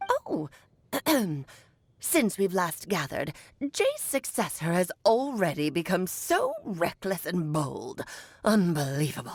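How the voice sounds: A woman's put-on character voice at medium pitch, fairly slow, with long, frequent pauses.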